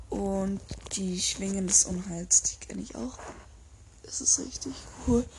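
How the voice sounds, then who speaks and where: Speech unfolds very slowly. Frequent long gaps interrupt it. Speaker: podcaster. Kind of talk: reading aloud. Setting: at home, window open. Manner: halting. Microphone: poor sound quality, open window.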